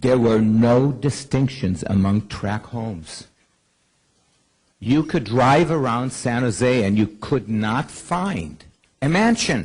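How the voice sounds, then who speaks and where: This man's voice sits at medium pitch and is somewhat breathy. He speaks very slowly with lively intonation. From Israel. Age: 70s. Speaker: rabbi and cultural center founder. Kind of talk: keynote speech. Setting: conference stage with audience. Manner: animated, repetitive stammering.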